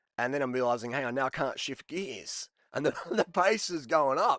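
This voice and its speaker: A man with an Australian accent speaks at a fairly high pitch with lively intonation. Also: dry, close sound with no echo. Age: 40s. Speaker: cycling vlogger. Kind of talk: casual video commentary. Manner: animated.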